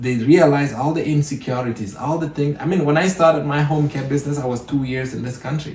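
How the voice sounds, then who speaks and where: A man with an African accent talks at a very fast pace with hardly any pauses. His voice is fairly high, with fairly even intonation. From Cameroon. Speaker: entrepreneur. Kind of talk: podcast interview.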